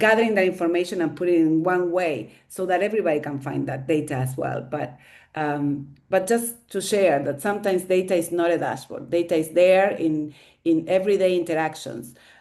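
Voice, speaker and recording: Using a Spanish accent, a woman talks in a fairly low voice. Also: ordinary pitch variation, fairly quick pace. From Argentina. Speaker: staff member of women's network. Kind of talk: webinar discussion. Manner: halting, many fillers.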